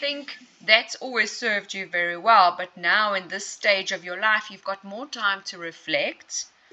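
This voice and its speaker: Over noticeable background noise, a woman speaks at a fairly slow pace and medium pitch. Her loudness swings widely, while her pitch varies in an ordinary way. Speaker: hypnotherapist. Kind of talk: client interview, conversational.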